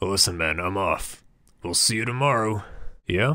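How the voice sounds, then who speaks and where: Doing a put-on character voice, the man sounds raspy. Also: medium pitch for a man, moderate pace. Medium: read story. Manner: casual, rambling, crude.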